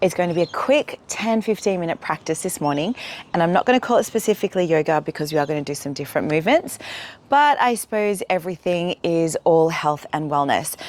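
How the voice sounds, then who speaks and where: A woman talks at a very fast pace in an Australian accent. Her pitch is fairly low, and her intonation is lively. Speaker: yoga teacher. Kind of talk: guided exercise class.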